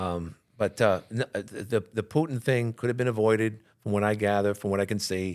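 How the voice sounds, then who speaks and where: This man talks with a New York accent at a fairly quick pace and a fairly low pitch. His pitch varies ordinarily, in a very clean recording with a silent background. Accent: New York City. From New York City, Queens. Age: 60s. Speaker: radio and TV talk show host. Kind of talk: casual interview about politics. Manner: halting, many restarts and fillers.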